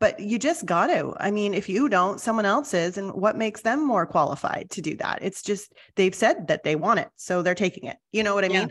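The woman talks at a fairly quick pace with hardly any pauses, her pitch medium and her intonation lively. It is a normal speaking voice. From Canada. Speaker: television host and storyteller. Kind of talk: casual chat.

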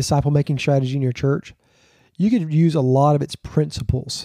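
Dark, mellow male voice with a Southern US accent, fairly high in pitch, dry and close with no echo, over a quiet background. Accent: Southern US (Georgia). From Georgia, US South. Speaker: pastor. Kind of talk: casual interview chat.

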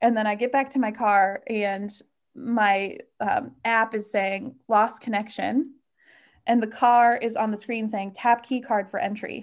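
With an American accent, a woman talks in a plain, everyday voice, fairly high in pitch and at a fairly slow pace. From US Midwest, Chicago northwest suburbs. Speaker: solo car camper. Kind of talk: casual interview chat.

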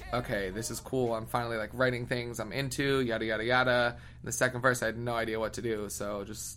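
With an American accent, a man of medium pitch talks at a very fast pace, his intonation fairly even and hardly any pauses, while the room echo is audible. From US Northeast, near Philadelphia. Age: 20s. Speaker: singer-songwriter. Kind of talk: casual interview.

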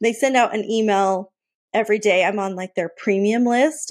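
A woman speaks at a moderate pace with fairly high pitch and a normal speaking voice. The recording is very clean, with a silent background. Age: 40s. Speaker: Disney fan and travel guest. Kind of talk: casual chat.

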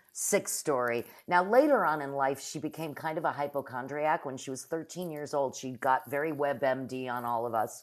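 A woman with an American accent speaks at a very deep, low pitch, with hardly any pauses, against a quiet background. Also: ordinary pitch variation, moderate pace. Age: 50s. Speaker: improv comedian and teacher. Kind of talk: casual chat.

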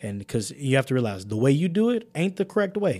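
A man with an American accent at a very fast pace. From Chicago. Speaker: university student. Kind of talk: casual interview.

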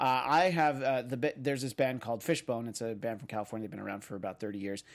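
A man talks at a medium pitch. The recording is very clean, and the background is silent. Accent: American. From New York. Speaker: podcast host. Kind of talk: casual chat.

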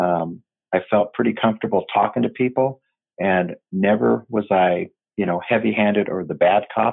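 A man with an American accent speaks at a moderate pace and a fairly low pitch. He has a normal speaking voice with ordinary pitch variation. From US Pacific Northwest, Tacoma, Washington. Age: 50s. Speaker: retired police detective. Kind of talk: casual interview.

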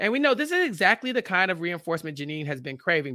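A man speaks at a very fast pace in a raised, projected voice with a bright, sharp tone and very wide pitch swings. The recording is very clean, with a silent background. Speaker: podcast recap host. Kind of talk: casual chat. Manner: loud.

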